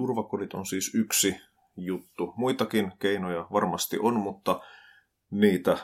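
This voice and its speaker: On a very clean recording with a silent background, a man talks at a very slow pace, his fairly low pitch kept in fairly even intonation. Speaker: podcast host, social commentator. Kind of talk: solo commentary podcast.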